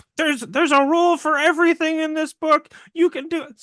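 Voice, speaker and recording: A man's put-on character voice in a Midwestern accent, extremely high in pitch and very fast in pace. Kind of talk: casual enthusiastic.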